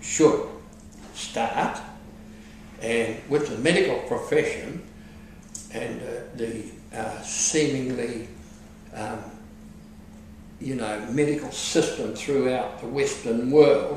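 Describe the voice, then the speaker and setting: A man with a New Zealand accent talks very slowly, pausing long and often, his loudness swinging widely amid light background noise and audible room echo. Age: 60s. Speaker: car valet. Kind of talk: patient testimonial interview answer. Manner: hesitant, casual.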